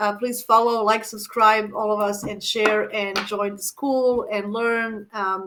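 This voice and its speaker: A woman's fairly high, bright, sharp voice with a non-native accent, monotone and flat, at a moderate pace. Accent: foreign. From Croatia. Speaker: astrologer, channel host. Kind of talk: casual interview chat. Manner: halting, many fillers.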